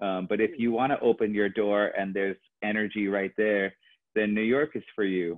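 A man talks in a plain, everyday voice at fairly low pitch and a fairly quick pace. His intonation is fairly even over a quiet background. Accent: American. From Los Angeles, California. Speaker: choreographer; podcast guest. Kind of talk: casual chat. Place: home room. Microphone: earbuds.

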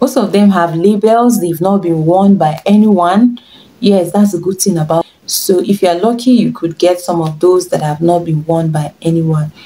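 Speaking with a Nigerian accent, a woman has a dark, mellow tone and a fairly low, somewhat breathy voice. Her pace is moderate, with ordinary pitch variation. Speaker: fashion and lifestyle vlogger; lifestyle vlogger. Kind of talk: tutorial. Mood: warm, encouraging. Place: home room.

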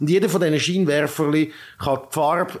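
A man's ordinary speaking voice, fairly high in pitch, with fairly even intonation. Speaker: tech podcast host. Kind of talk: casual chat.

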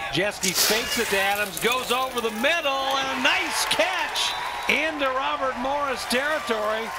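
Over noticeable background noise, a man with an extremely high pitch uses a raised, projected voice at a fairly slow pace, with hardly any pauses, very even loudness and ordinary pitch variation. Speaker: football radio play-by-play announcer. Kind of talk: live sports commentary in highlight reel.

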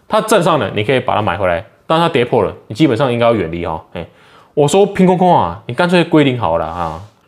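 Over a quiet background, a man talks at a very fast pace with very wide pitch swings and vocal fry. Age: 30s. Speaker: stock market YouTuber. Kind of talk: casual market commentary. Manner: animated. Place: home room. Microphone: phone near.

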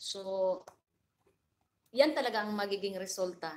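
The woman's voice sits at a medium pitch with ordinary pitch variation. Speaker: livestream vlogger. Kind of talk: casual livestream chat with viewers.

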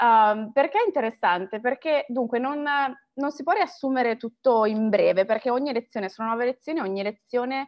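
A woman with a high pitch speaks at a moderate pace, using ordinary pitch variation. She leaves hardly any pauses, and the background is quiet. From Italy. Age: 30s. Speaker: marketing professional and alumna; interviewee. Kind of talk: interview testimony. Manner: hesitant, many fillers. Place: home room. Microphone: webcam.

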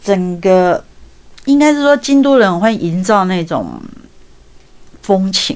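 A woman at a very slow pace, her intonation lively. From Taiwan. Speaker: travel book author; guest. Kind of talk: interview. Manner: repetitive stammering. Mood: warm, anecdotal storytelling. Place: studio.

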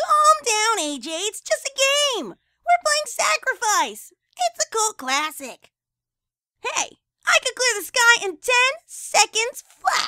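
A put-on character voice, female-sounding, delivered at a fairly slow pace. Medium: voice reel. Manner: brash, energetic.

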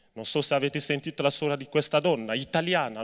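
A man is talking, his pitch varying in an ordinary way. Behind him the background is quiet. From Cameroon. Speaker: labor rights activist; speaker. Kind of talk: speech to students and inmates. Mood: earnest, serious. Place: stage. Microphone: handheld.

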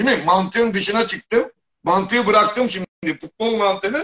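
The background is quiet. A man speaks at a high pitch with ordinary pitch variation. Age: 60s. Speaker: football pundit. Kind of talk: heated debate. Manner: animated. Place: home room. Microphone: video call.

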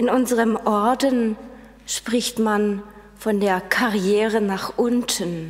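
A woman at a very slow pace, with fairly even intonation. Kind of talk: sermon. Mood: calm, earnest. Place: church.

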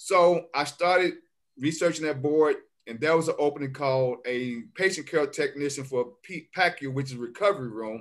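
With a quiet background, a man speaks at a moderate pace in a fairly high pitch with ordinary pitch variation. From Memphis, Tennessee; Tennessee. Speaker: healthcare worker; interview guest. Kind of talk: interview, life story. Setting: video call. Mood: relaxed, reflective. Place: home room. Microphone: video call.

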